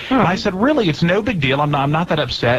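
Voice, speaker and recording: A man swings his pitch very widely while noticeable background noise plays behind him. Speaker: radio show hosts. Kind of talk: casual radio banter. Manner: conversational, joking.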